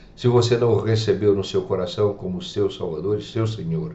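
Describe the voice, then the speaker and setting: There is audible room echo on this recording. The man's voice is fairly low in pitch. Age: 70s. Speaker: preacher. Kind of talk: radio sermon.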